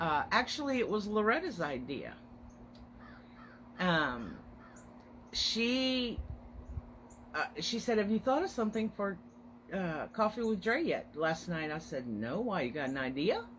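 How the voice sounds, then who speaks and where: Marked by vocal fry, the voice moves at a fairly slow pace with long, frequent pauses and very wide pitch swings. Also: woman, medium pitch for a woman. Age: 50s. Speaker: online craft business owner hosting weekly encouragement live stream. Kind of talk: casual live stream chat. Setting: Facebook live video. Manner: chatty, friendly.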